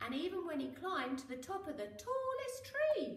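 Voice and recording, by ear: A woman's extremely high voice at a moderate pace, with big pitch swings and strong room echo.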